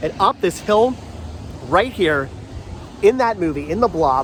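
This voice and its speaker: Noticeable background noise accompanies speech delivered in an animated tone. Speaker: travel vlogger. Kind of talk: casual vlog walkthrough. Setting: outdoors on a street in rain. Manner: stumbling, mumbling.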